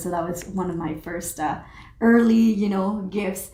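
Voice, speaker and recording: A woman at a moderate pace with ordinary pitch variation, plus audible room echo. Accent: Spanish. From Mexico. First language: Spanish. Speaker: social entrepreneur and pilot. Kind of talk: interview. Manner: animated.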